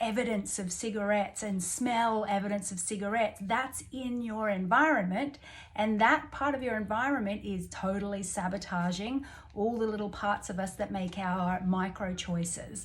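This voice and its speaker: A somewhat breathy woman with an Australian accent speaks at a moderate pace with ordinary pitch variation. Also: medium pitch for a woman. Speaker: life coach. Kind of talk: self-help coaching talk. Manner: casual, unscripted, hesitant.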